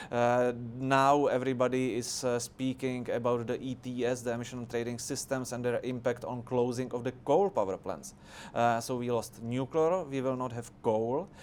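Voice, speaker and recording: With a Czech accent, a man speaks at a moderate pace in a medium pitch, his intonation fairly even. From Czech Republic. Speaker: politician. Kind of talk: debate discussion. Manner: halting, many filler sounds.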